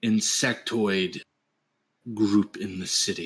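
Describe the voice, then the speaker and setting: In a put-on character voice, a man speaks raspy and fairly low at a fairly slow pace, the sound dry and close with no echo. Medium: actual play. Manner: calm, paternal, noncommittal.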